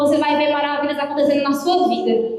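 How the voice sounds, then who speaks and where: In a room with audible echo and noticeable background noise, a high-pitched woman speaks at a fairly quick pace. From Minas Gerais, Brazil. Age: 20s. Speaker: preacher. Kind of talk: sermon. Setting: prayer group meeting with audience. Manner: animated.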